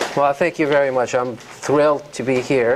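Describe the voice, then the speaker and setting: A man with a Persian accent speaks at a moderate pace. His intonation is fairly even, and there is noticeable background noise. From Iran. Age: 50s. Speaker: novelist. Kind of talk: author talk. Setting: university lecture hall with audience. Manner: hesitant, many fillers.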